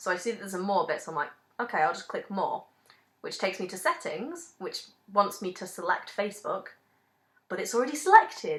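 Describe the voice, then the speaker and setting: Speaking very fast with lively intonation, a woman with a Manchester accent holds a medium pitch. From Manchester, England. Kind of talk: casual rant to camera. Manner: angry, ranting.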